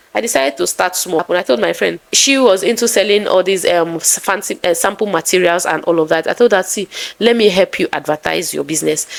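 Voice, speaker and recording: A woman with a Nigerian accent talks at a fairly quick pace in a medium pitch. Her pitch variation is ordinary, and there is noticeable background noise. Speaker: content creator. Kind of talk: vlog storytelling. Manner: soft-spoken; calm.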